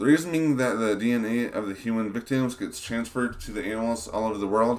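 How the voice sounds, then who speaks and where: A man mumbling at a very fast pace and medium pitch, with ordinary pitch variation. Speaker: game design streamer. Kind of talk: live stream talk. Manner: halting, many fillers.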